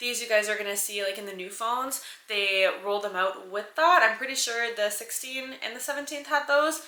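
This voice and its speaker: Speaking in a fairly high voice with an animated tone, a woman is heard with audible room echo and noticeable background noise. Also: ordinary pitch variation, moderate pace, hardly any pauses. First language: French. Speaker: lifestyle vlogger. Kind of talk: casual tech review vlog. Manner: animated, chatty.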